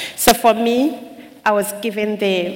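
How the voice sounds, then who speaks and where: A woman's fairly even intonation over noticeable background noise. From Uganda, Kisoro/Kigezi region. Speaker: charity worker and public speaker. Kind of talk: testimony.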